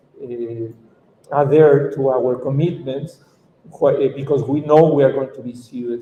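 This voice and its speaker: A man with a Mexican accent speaks at a fairly slow pace. His fairly high pitch stays monotone and flat. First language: Spanish. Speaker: activist lawyer. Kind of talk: conference talk. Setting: conference panel. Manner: halting.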